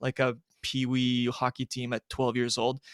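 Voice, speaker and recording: Recorded very cleanly against a silent background, a man with a French accent sounds dry and close with no echo. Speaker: sports journalist. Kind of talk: casual chat. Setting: live-streamed podcast.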